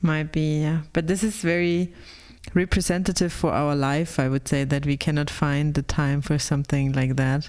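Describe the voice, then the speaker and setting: In a German accent, a woman with a very deep, low pitch keeps her loudness very even and her intonation fairly even. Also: moderate pace. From Germany. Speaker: podcast co-host. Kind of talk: casual chat.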